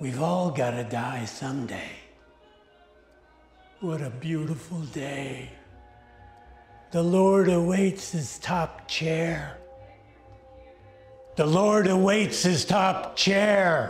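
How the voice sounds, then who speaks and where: Very slow delivery at a middle pitch, broken by long, frequent pauses, with faint music in the background. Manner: calm, creepy.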